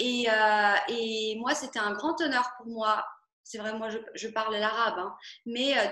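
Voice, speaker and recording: A woman's bright, sharp, fairly high voice at a very slow pace, with audible room echo. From Algeria, Oran. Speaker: singer-songwriter. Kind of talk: interview. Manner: halting, many fillers.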